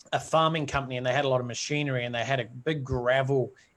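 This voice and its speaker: A man speaks with a New Zealand accent. His pitch sits in the medium range. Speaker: entrepreneur. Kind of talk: interview. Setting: live video stream.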